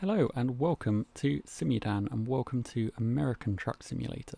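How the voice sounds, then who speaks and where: A man's medium-pitched voice with a British accent, lively intonation and a moderate pace, in dry, close sound with no echo. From Britain. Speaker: gaming YouTuber. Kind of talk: gameplay commentary. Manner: casual.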